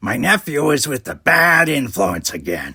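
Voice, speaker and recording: Doing a put-on character voice, a man growls at a fairly high pitch, his pitch swinging very widely. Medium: read story. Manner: wry, money-minded.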